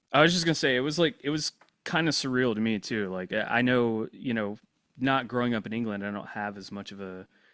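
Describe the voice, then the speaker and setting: A man with a slight Southern US accent at a very fast pace, on a very clean recording with a silent background. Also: medium pitch for a man, ordinary pitch variation, big swings in loudness. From US South. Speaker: podcast host. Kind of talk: casual podcast interview.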